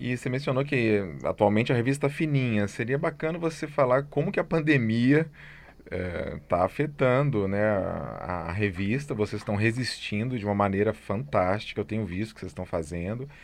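With lively intonation, a man with a normal speaking voice talks at a moderate pace and medium pitch. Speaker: podcast host, music institute director. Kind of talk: interview.

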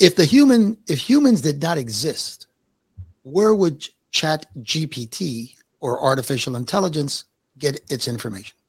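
In a dry, close sound with no echo, a man with a fairly high pitch talks at a fairly slow pace, somewhat breathy, with very wide pitch swings. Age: 70s. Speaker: podcast host. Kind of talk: casual podcast conversation.

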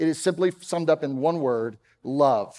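There is no background sound at all in this very clean recording. A man talks with an American accent. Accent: Texan, mostly suppressed. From Texas, Dallas. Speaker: pastor. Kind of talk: sermon. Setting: church.

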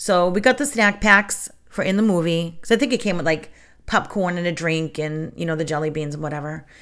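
On a very clean recording with a silent background, a woman with an ordinary speaking voice talks at a moderate pace and medium pitch, using lively intonation. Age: 50s. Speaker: podcast host on witchcraft. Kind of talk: casual solo talk. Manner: chatty, filler-heavy.

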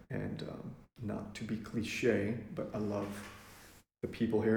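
Here a man with an American accent speaks at a fairly low pitch, somewhat breathy. His intonation stays fairly even. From Kenya and Lubbock, Texas. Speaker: missionary. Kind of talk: casual interview. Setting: at a dining room table.

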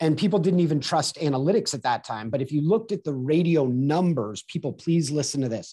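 A man with an American accent, fairly high in pitch with a dark, mellow tone and a somewhat breathy quality, lively intonation, a fairly quick pace and hardly any pauses, against a quiet background. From Southern California. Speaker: sales and video marketing consultant. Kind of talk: interview.

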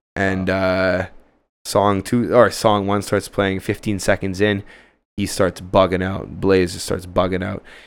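Speaking with a Canadian accent at a fairly slow pace, a man uses a very deep, low pitch and monotone, flat intonation, with big swings in loudness on a very clean recording with a silent background. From Ottawa, Canada. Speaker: music producer. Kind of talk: casual chat.

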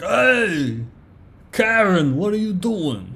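A man uses a put-on character voice. His pitch sits high. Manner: tough, menacing.

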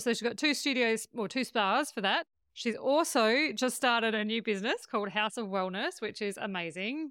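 In an Australian accent, a woman with a fairly high pitch speaks at a moderate pace with lively intonation on a very clean recording with a silent background. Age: 40s. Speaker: podcast host. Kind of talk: casual chat.

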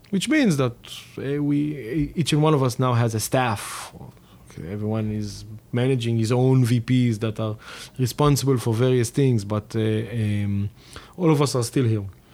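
Someone with an Israeli accent speaks at a fairly slow pace. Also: man. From Israel, Tel Aviv. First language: Hebrew. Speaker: tech company co-founder. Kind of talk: interview. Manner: hesitant, many fillers.

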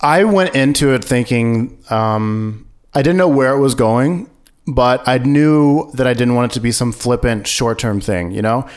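This man has an unremarkable speaking voice and an American accent. He talks at a fairly slow pace in a medium pitch with ordinary pitch variation. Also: very even loudness. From US Midwest (rural Missouri). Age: 30s. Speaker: podcast producer, former missionary. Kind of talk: interview, personal story.

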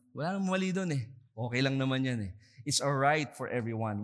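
A man with a Filipino accent talks at a fairly quick pace. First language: Tagalog. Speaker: pastor. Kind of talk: sermon. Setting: church service, streamed online.

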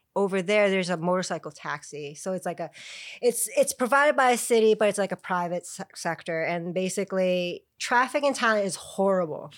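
Speaking at a fairly quick pace with an American accent, a woman with a medium pitch uses lively intonation in a very clean recording with a silent background. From Chicago, US Midwest. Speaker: yoga practitioner. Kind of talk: casual chat.

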